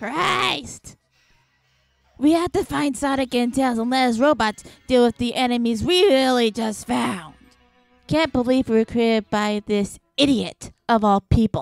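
A female-sounding, put-on character voice speaks at a high pitch and a moderate pace. Music plays in the background. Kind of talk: acted character dialogue. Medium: machinima. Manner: sarcastic, grumbling, insolent.

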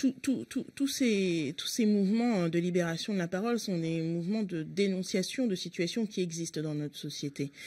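A woman talks at a moderate pace with hardly any pauses, in a medium pitch. Her tone is dark, mellow and somewhat breathy, with lively intonation. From France, Paris working-class neighbourhoods. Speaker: member of parliament and party spokesperson; party spokesperson. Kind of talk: radio interview. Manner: hesitant, many filler sounds. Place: studio. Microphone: studio mic.

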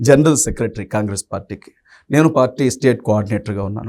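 A man speaks in an ordinary speaking voice. His pitch variation is ordinary. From Telangana, Khammam. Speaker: pastor. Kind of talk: interview testimony. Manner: insistent.

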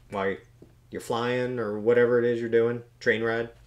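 The man speaks at a moderate pace. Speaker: beekeeper channel host. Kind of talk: casual vlog outro chat. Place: home room.

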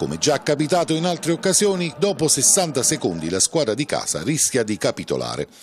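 Over music in the background, the speaker goes at a fairly quick pace with lively intonation and hardly any pauses. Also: man, fairly high pitch for a man. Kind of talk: sports commentary, recapping match highlights in a voiceover. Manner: brisk, formal and matter-of-fact, reporting play-by-play.

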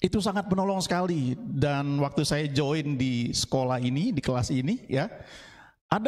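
A man with a plain, everyday voice, lively intonation and a moderate pace. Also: quiet background. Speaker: Bible teacher. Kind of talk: Bible study lesson. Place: hall. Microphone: handheld.

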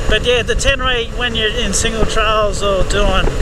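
The speech moves at a moderate pace. Loud background noise is present, and the sound is dry with no echo. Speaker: motorbike vlogger. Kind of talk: casual vlog chat. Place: motorbike. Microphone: helmet.

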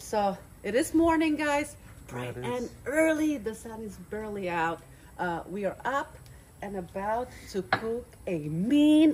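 A woman at a very slow pace with long, frequent pauses, fairly high pitch, very wide pitch swings, big swings in loudness, a somewhat breathy sound and light background noise. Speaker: vlogger. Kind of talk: casual vlog chat. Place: garden. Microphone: phone near.

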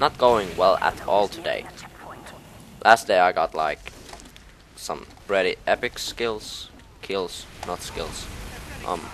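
A man speaks at a very slow pace with long, frequent pauses. Noticeable background noise is present. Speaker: gaming YouTuber. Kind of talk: gameplay commentary. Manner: animated.

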